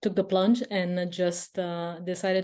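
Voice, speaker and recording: At a very slow pace, a woman speaks in a fairly low pitch with a dark, mellow tone and monotone, flat intonation. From Romania. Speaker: online business student. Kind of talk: testimonial interview.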